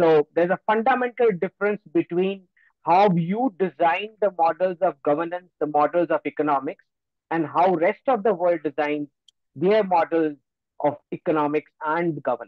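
Loudness stays very even as a man speaks with a high pitch and ordinary pitch variation. The sound is dry with no echo, over a quiet background. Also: moderate pace. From Gujarat, India. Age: young. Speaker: geopolitical analyst. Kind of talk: lecture. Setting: video call. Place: home room. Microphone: video call.

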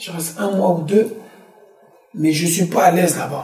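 Audible room echo surrounds a man speaking at a high pitch and a moderate pace. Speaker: musician. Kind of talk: interview. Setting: studio. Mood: calm, reflective. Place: studio.

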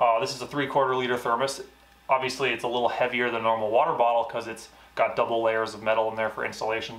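In a room with audible echo, a man talks at a fast pace with a medium pitch, a fairly bright tone and little pitch movement.

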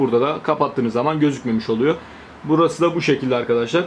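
A man's very fast speech over light background noise. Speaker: tech youtuber. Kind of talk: tutorial. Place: home room.

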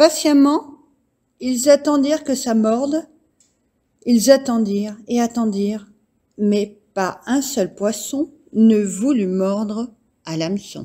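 A woman's fairly high voice, calm and soothing with a dark, mellow tone and lively intonation, at a very slow pace with long, frequent pauses. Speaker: storyteller reading aloud to children. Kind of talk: bedtime story reading, gentle storytelling aloud. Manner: calm, soothing, unhurried; animated, shifting tone for the child and grandfather characters.

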